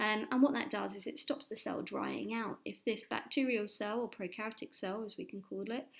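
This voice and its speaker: This woman speaks with an English accent. She hardly pauses at all. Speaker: science teacher. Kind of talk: lesson. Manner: fast.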